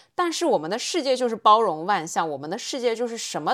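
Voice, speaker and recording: In a very clean recording with a silent background, a woman speaks at a fairly quick pace. Her pitch swings very widely. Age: 30s. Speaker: podcast host. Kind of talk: casual monologue. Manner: conversational.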